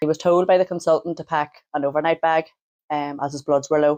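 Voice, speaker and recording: In a quiet background with a dry, close sound and no echo, a woman with a Northern Irish accent talks at a fairly quick pace in a very deep, low pitch and a monotone, flat intonation. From Northern Ireland. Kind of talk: interview answer. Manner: hesitant, emotional.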